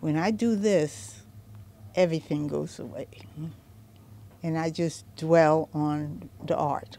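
A woman talks at a very slow pace with a very deep, low pitch and a dark, mellow tone. The sound is dry with no echo, and there is light background noise. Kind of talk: interview answer. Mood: heartfelt, reflective. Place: workshop. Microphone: handheld.

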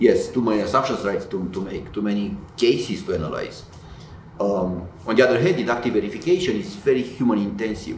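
The man's pitch swings very widely, heard with light background noise and audible room echo. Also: fairly quick pace. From Romania. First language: Romanian. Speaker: tech company founder and computer scientist; interviewee. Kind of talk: interview. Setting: in-person event. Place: office.

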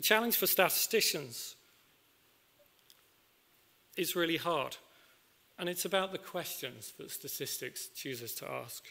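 Speaking at a fairly slow pace with long, frequent pauses, a man uses a fairly high pitch, a bright, sharp tone, vocal fry and lively intonation.

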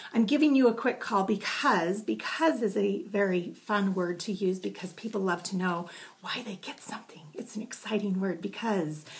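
Moderate pace and ordinary pitch variation from a woman. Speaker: direct sales consultant. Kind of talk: tutorial. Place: home room. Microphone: webcam.

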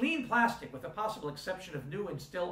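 Audible room echo surrounds a man who speaks at a fairly quick pace with very wide pitch swings. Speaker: university instructor. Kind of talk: lecture.

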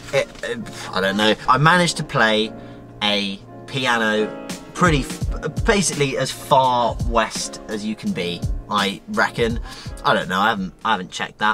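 Over clear background music, a man with a fairly low pitch talks at a moderate pace, taking long, frequent pauses. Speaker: travel vlogger. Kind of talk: casual vlog chat. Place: car. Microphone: phone near.

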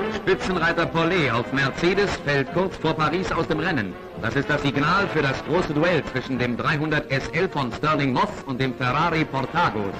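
With noticeable background noise behind him, a man of fairly high pitch talks at a moderate pace in very even loudness, hardly pausing. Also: ordinary pitch variation. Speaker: newsreel narrator. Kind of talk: 1950s newsreel narration. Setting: archival recording with old-film sound. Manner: brisk, dramatic. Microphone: old recording.

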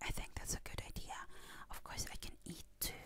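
A woman whispers her words at a moderate pace. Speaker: ASMR creator. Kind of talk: ASMR personal talk. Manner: whispered; chewing gum while speaking. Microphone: studio mic.

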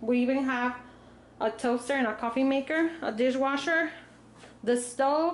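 Over light background noise, a woman with a high pitch speaks at a moderate pace with ordinary pitch variation. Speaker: travel vlogger. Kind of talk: casual vlog room tour. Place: home room. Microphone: phone near.

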